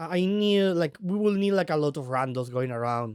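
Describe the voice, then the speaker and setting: A man speaks with a non-native accent. He talks at a fairly slow pace. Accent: non-native accent, self-described weird. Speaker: vtuber streamer. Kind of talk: casual live stream chat. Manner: halting, many repetitions and fillers.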